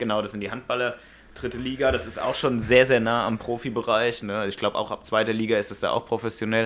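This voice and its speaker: Monotone and flat, a man's medium-pitched voice rushes along at a very fast pace. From Hanau, Hesse, Germany. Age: 30s. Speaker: local politician. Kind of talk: interview.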